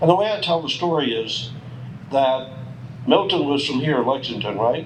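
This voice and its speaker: Over noticeable background noise and audible room echo, a man with an American accent talks at a fairly quick pace with lively intonation. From US South, Charleston, South Carolina. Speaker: war veteran. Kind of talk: memorial speech. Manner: conversational.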